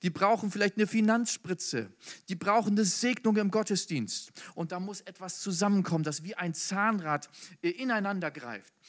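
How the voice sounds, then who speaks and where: On a very clean recording with a silent background, a man with a high pitch and an animated tone speaks at a moderate pace with ordinary pitch variation. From northern Germany. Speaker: preacher. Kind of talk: sermon. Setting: hall with audience.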